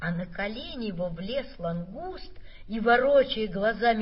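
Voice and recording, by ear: The intonation here is lively. It is reading aloud in a natural voice.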